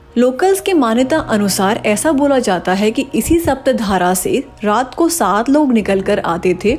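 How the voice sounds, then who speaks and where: With music in the background, a woman speaks in a high pitch that swings very widely. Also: fairly slow pace. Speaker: travel vlogger narrator. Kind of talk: travel vlog narration.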